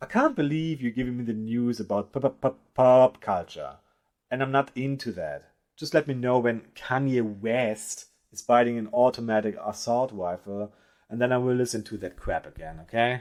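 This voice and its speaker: Someone with a non-native accent speaks at a moderate pace with ordinary pitch variation. The recording is very clean, and the background is silent. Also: man, medium pitch for a man. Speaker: podcast host. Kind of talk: satirical news monologue.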